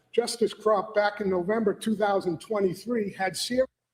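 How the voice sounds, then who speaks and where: A man speaks with a Boston accent. His pitch is high and his pace moderate. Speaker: lawyer arguing in court. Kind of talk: formal legal argument. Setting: courtroom.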